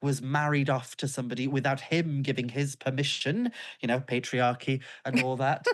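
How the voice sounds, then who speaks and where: Speaking in a North Welsh accent at a moderate pace, a woman has a very deep, low pitch against a quiet background. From North Wales, Isle of Anglesey. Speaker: author and pagan witch. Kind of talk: interview conversation.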